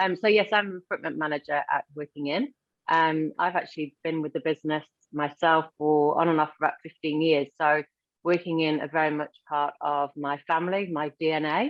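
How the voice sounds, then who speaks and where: Her voice is very deep and low for a woman, with a slight English accent. She speaks at a fairly quick pace with fairly even intonation. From northern England, Blackpool. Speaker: recruitment manager. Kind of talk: webinar self-introduction. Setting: online webinar.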